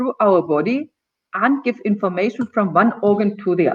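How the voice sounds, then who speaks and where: This woman's voice is fairly high. She keeps to a moderate pace. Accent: non-native. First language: German. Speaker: gynecologist and naturopath. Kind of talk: talk show presentation. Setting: live video stream. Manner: occasional stumbling.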